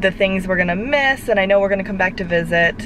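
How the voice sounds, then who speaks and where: A woman speaks with ordinary pitch variation in a dry sound with no echo, over noticeable background noise. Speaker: parent vlogger. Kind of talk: casual vlog chat. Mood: nostalgic, a bit emotional. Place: car. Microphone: phone near.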